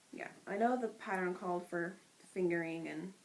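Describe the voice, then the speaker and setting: Soft-spoken, a woman talks at a moderate pace with a medium-pitched voice and lively intonation. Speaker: podcast co-host, knitter. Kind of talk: casual chat.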